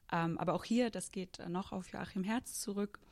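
At a moderate pace, a woman with an ordinary speaking voice talks at a fairly low pitch with fairly even intonation. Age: 20s. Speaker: foundation project manager. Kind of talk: interview.

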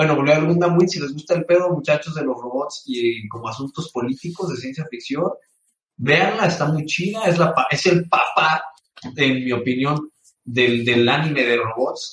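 In a Mexican accent, a man speaks at a moderate pace. His pitch is fairly high. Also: ordinary pitch variation. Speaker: gaming podcast co-host. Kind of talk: casual chat. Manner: animated.

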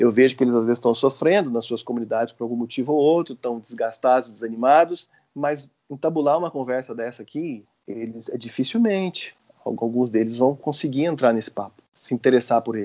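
Moving at a fairly quick pace, a man speaks in a plain, everyday voice of medium pitch with ordinary pitch variation. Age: 40s. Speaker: law professor and public servant, liturgy resource creator. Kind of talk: podcast interview.

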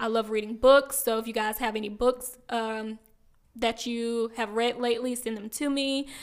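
A woman speaks at a moderate pace with a fairly high pitch and monotone, flat intonation. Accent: Southern US. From South Carolina, small town near Aiken. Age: 30s. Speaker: podcast co-host. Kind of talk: casual chat.

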